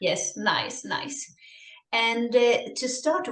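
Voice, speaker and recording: A woman's somewhat breathy voice moves at a very slow pace. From Sweden. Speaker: herbalist podcast host. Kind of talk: casual chat. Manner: hesitant with fillers.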